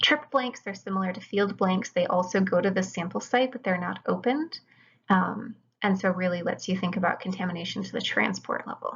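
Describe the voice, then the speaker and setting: A woman speaks at a fairly quick pace with vocal fry. Her medium pitch shows ordinary pitch variation. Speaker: chemistry lecturer. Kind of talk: lecture.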